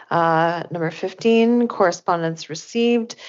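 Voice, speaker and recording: Using a normal speaking voice, a woman talks at a moderate pace with fairly low pitch and ordinary pitch variation. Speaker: school board chair. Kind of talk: formal meeting chairing. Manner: formal.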